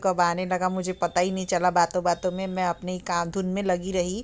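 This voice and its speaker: Soft-spoken, a woman talks at a moderate pace in a medium pitch. Her intonation stays monotone and flat. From Bihar, India. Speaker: vlogger. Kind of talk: cooking and daily vlog narration. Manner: subdued, soft.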